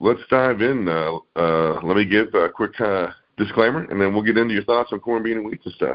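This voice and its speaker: This is a plain, everyday voice. A man talks at a fairly quick pace with a fairly low pitch and ordinary pitch variation. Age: 60s. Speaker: podcast co-host. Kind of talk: casual chat. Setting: podcast.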